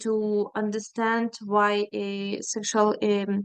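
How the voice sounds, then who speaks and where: A woman speaks with a Ukrainian accent. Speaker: feminist activist, NGO worker. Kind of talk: panel presentation. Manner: halting, many fillers.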